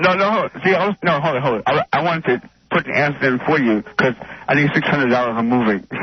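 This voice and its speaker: Against noticeable background noise, a man with a fairly high pitch talks very fast, his intonation lively. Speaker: caller. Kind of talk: phone-in call. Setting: phone call. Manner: mumbly.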